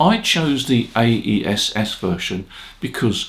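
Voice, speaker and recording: A medium-pitched man with lively intonation over noticeable background noise. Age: 80s+. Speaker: ham radio operator and equipment reviewer. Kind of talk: casual talk to camera, product review.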